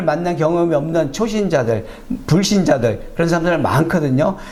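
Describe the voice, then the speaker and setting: Speech at a moderate pace comes through with audible room echo. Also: man. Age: 60s. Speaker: preacher. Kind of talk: sermon with personal testimony. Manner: conversational with fillers.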